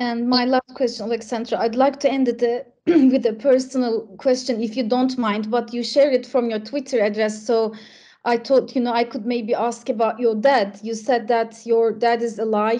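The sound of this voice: Speaking at a moderate pace, a woman has a fairly high pitch, a dark, mellow tone and fairly even intonation.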